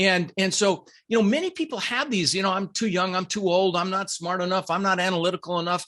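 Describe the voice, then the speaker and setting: At a very fast pace with hardly any pauses, a man talks in a high-pitched, energetic voice with a bright, sharp tone and ordinary pitch variation against a quiet background. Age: 60s. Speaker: real estate investor and coach. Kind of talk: podcast interview.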